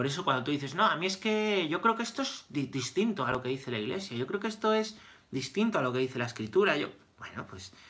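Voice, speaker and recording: A man with a bright, sharp tone, very wide pitch swings, and a fairly quick pace. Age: 30s. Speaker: priest. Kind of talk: catechesis lecture. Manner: repetitive, conversational.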